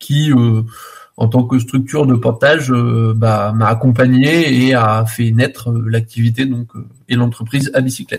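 Monotone and flat, a man talks at a fairly slow pace. His pitch is medium. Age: 30s. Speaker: bicycle repair entrepreneur. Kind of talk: radio interview. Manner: halting, many hesitations.

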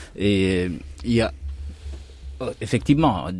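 The voice belongs to a man and sounds somewhat breathy. His pitch is fairly low. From Guinea. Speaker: journalist and documentary maker. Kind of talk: radio panel discussion.

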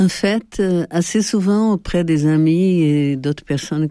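In a Portuguese accent, a woman speaks at a fairly slow pace with a dark, mellow tone and ordinary pitch variation, on a very clean recording with a silent background. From Brazil. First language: Portuguese (speaking French). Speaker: sociologist and colorist. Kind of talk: interview. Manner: hesitant.

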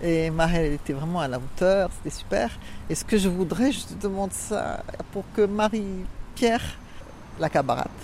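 In a normal speaking voice, a woman talks at a medium pitch. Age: middle-aged. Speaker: prison reading-group volunteer. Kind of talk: casual chat.

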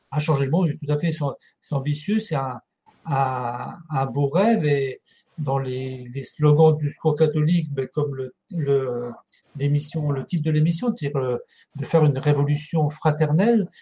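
A man speaks at a very slow pace in a fairly high, somewhat breathy voice with a dark, mellow tone and ordinary pitch variation. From France, Ardennes. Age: 60s. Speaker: charity volunteer leader, retired social centre director. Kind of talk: interview. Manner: halting, many hesitations.

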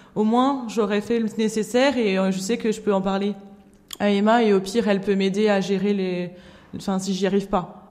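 A woman's medium-pitched voice with a dark, mellow tone, monotone and flat, at a moderate pace. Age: 20s. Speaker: nurse and association volunteer. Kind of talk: recorded interview.

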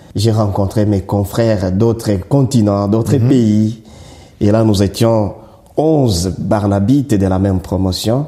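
Speaking very slowly with very even loudness, a man with a Congolese accent uses a fairly low pitch and ordinary pitch variation. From DR Congo, South Kivu. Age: 40s. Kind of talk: interview. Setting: church.

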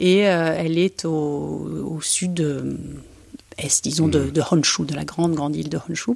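Very slow speech from a woman amid noticeable background noise. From Belgium. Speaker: architect, cellist and travel writer. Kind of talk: interview. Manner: hesitant, many fillers.

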